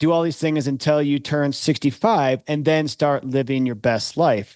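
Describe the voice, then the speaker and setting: In an unremarkable speaking voice, a man talks at a moderate pace and fairly high pitch with ordinary pitch variation against a quiet background. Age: 50s. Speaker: podcast host. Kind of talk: interview.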